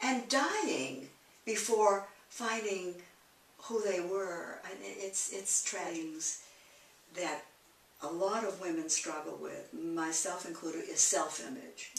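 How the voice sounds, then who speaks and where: A woman at a very slow pace, with audible room echo and light background noise. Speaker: interviewee. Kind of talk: interview answer. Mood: candid, rueful, emotional. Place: home room. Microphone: camera far.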